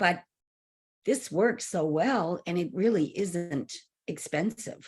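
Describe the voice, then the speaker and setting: Speaking at a very slow pace, a woman uses a fairly low voice. Her intonation is lively. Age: 60s. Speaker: wellness channel host. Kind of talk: casual conversation with product promotion.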